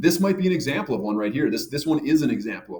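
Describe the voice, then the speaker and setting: The speech runs at a very fast pace with lively intonation. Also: man. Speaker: math teacher. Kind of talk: lecture. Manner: casual, filler-heavy.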